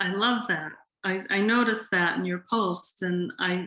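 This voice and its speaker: Her tone bright and sharp, a woman speaks at medium pitch and a fairly slow pace with fairly even intonation on a very clean recording with a silent background. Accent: Boston. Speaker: yoga teacher. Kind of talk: interview. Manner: hesitant, many ums.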